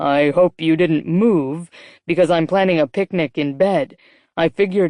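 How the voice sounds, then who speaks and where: Putting on a character voice, a woman talks at a moderate pace in a fairly low pitch, recorded dry and close with no echo against a quiet background. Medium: read story. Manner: intense, low.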